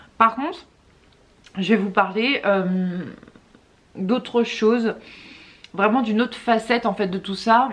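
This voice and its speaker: A woman with a fairly high pitch and ordinary pitch variation talks at a fairly slow pace with long, frequent pauses over noticeable background noise. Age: 20s. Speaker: mother of two, YouTuber. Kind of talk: casual talk to camera.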